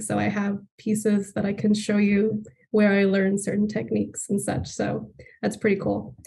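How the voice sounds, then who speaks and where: A woman's dark, mellow, somewhat breathy voice with an American accent and monotone, flat intonation. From Laredo, Texas (US–Mexico border); Texas. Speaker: artist and high school teacher; high school teacher. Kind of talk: artist talk. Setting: video call from home studio. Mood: warm, engaged. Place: studio. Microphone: video call.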